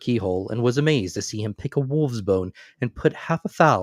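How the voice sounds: The reading voice sounds natural. Its intonation moves in a lively way.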